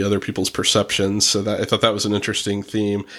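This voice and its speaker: The man's fairly low voice holds a monotone, flat intonation. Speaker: podcast host, attorney. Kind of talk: casual chat.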